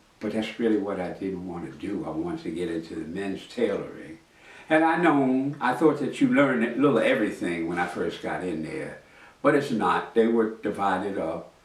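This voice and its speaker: A man's fairly low voice at a moderate pace, with very wide pitch swings, big shifts in loudness and audible room echo. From New York City, Harlem. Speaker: master tailor and storyteller. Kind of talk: autobiographical storytelling. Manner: conversational, reflective.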